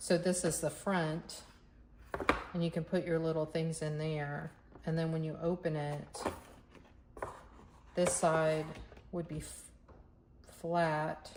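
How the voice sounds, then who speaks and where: A woman speaks very slowly at a fairly low pitch, her intonation monotone and flat, with long, frequent pauses. Noticeable background noise runs underneath. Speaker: crafter making art tutorials. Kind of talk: casual crafting tutorial, thinking aloud. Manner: halting, self-correcting.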